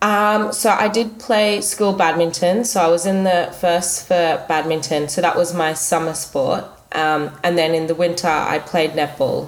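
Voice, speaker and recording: With an Australian accent and a fairly low voice, a woman speaks at a fairly slow pace with hardly any pauses and ordinary pitch variation, amid noticeable background noise and audible room echo. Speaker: product manager, school alumna. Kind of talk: interview. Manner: thoughtful, pausing.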